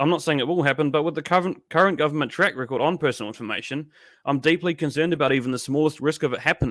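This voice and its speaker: A man speaks very fast in a New Zealand accent, his pitch fairly high with ordinary variation. The recording is very clean, with a silent background. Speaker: political livestream host. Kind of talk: live stream commentary with chat reading.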